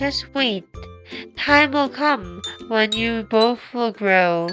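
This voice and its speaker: Over faint background music, a female-sounding voice puts on a character voice, pitched fairly high and moving at a very slow pace. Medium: read story. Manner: calm, reassuring.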